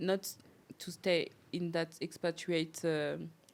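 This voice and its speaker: With a French accent, a woman talks fairly slowly in a fairly low voice. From France. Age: 30s. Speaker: podcast guest, mother. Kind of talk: casual interview. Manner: halting, many hesitations.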